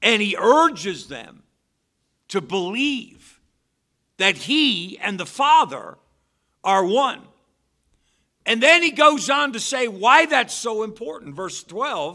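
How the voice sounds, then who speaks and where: Against a quiet background, a man speaks very slowly in a raised, projected voice, with long, frequent pauses and big swings in loudness. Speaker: preacher. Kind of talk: sermon. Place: church. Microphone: podium.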